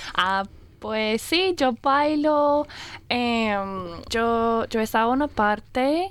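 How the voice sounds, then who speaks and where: At a very slow pace with long, frequent pauses, a woman speaks at a fairly high pitch, her intonation lively and her loudness very even. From Australia, Brisbane. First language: English (speaking Spanish). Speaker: Spanish and English teacher. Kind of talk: casual radio interview. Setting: radio studio. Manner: lively, upbeat; halting, with fillers.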